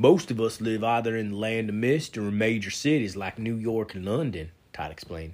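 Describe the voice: Fairly even intonation in a plain read-aloud delivery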